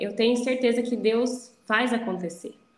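A woman's fairly high voice rings with audible room echo. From Campinas area, São Paulo state, Brazil. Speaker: endodontist. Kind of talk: interview conversation.

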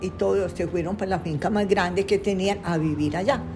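Noticeable background noise surrounds a woman speaking at medium pitch with fairly even intonation. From Colombia, Medellín (Antioquia). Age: 90s. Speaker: painter. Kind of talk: life-story interview. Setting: at home. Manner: halting.

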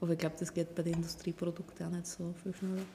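At a fairly quick pace, a woman talks with a fairly low pitch and monotone, flat intonation. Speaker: wine princess from a winery. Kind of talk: casual chat. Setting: winery sales room.

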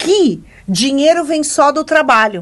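A woman with an animated tone and lively intonation. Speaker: podcast co-host. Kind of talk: casual chat.

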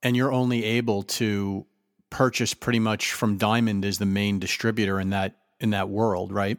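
A man with a normal speaking voice talks at a moderate pace and fairly low pitch, his loudness very even, the sound dry and close with no echo in a very clean recording with a silent background. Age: 30s. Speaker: podcast host. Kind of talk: casual interview.

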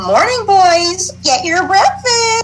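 A female-sounding voice performs a put-on character voice at an extremely high pitch. Background noise is clearly audible. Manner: caring, maternal.

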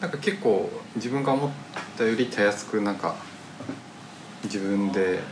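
Amid noticeable background noise and audible room echo, a man at a medium pitch speaks with lively intonation and long, frequent pauses. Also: moderate pace. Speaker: podcast host. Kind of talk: casual chat. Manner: poor articulation.

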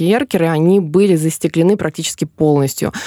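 A woman speaks at a fairly quick pace in a fairly low pitch, her dark, mellow tone carrying ordinary pitch variation in a dry, close sound with no echo. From Smolensk region, Russia. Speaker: tour guide and journalist. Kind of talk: casual chat. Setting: studio. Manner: talkative.

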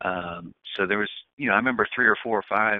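With fairly even intonation, a man speaks in an American accent. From US, Washington D.C. area. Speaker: sports executive. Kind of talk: interview.

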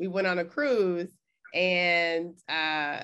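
A woman speaks with an ordinary speaking voice. Her pitch is fairly low and her intonation fairly even. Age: 40s. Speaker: podcast host and therapist. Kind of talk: casual interview. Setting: remote call.

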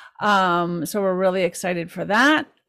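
Heard on a very clean recording with a silent background, a woman with an unremarkable speaking voice talks at a medium pitch and a moderate pace. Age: 50s. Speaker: podcast host and author. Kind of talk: interview.

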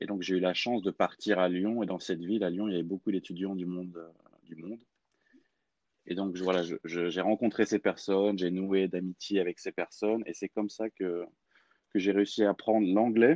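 A man with a very deep, low pitch and a dark, mellow tone speaks at a moderate pace in a flat monotone, leaving long, frequent pauses, the sound dry and close with no echo. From France, Clermont-Ferrand. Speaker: language coach. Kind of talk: interview. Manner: halting.

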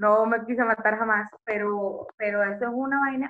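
A woman speaks at a fairly high pitch with a Venezuelan accent. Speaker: podcast co-host. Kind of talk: casual chat.

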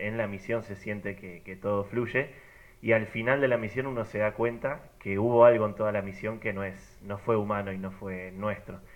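A man's normal speaking voice at a moderate pace, with big swings in loudness. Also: fairly low pitch for a man, fairly even intonation. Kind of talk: casual group chat.

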